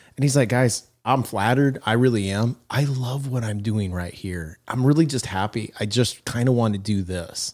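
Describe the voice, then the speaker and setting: A man with an unremarkable speaking voice talks at a moderate pace and a medium pitch, with ordinary pitch variation. The recording is very clean, with a silent background. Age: 50s. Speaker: podcast co-host, leadership coach. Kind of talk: casual chat.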